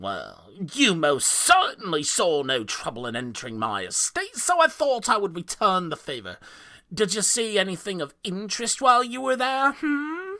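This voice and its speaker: A man puts on a character voice pitched high. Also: moderate pace. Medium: read story. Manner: jovial, mocking, condescending.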